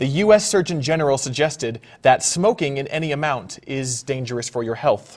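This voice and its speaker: An ordinary speaking voice, a man with a fairly high pitch talks at a fairly quick pace with lively intonation and hardly any pauses. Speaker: improv comedian, news-parody anchor. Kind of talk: comedic mock news anchor banter.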